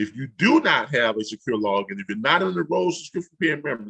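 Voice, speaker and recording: A man talks at a fairly quick pace with a bright, sharp tone, in a dry, close sound with no echo. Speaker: online business trainer. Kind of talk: tutorial. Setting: livestream on YouTube.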